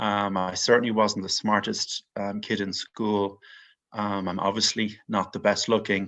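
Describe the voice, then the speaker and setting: Over a quiet background, a man speaks at a fairly low pitch in an Irish accent. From Ireland, Dublin. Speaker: mortgage investment executive. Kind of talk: podcast interview.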